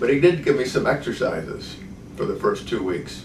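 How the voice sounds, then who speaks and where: Audible room echo surrounds this recording. A man speaks at a moderate pace. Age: 70s. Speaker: patient. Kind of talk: testimony. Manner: hesitant, with frequent fillers.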